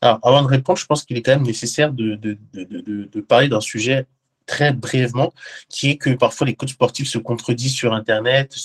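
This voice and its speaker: A man of medium pitch speaks at a moderate pace, somewhat breathy and with fairly even intonation, in a dry, close sound with no echo. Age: 20s. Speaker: professional bodybuilder and digital transformation consultant. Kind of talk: interview. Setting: video call.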